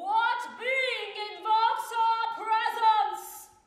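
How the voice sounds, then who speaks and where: This put-on character voice sits at an extremely high pitch and moves at a very slow pace with monotone, flat intonation and a clear echo. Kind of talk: archaic, ceremonial. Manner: grandiose, theatrical.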